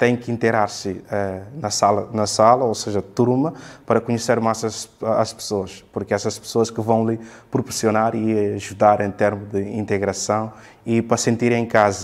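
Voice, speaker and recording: This man talks at a moderate pace, his pitch medium. The intonation is monotone and flat. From Guinea-Bissau. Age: 20s. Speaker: university student; interviewee. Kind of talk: interview. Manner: halting, many fillers and repetitions. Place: empty room.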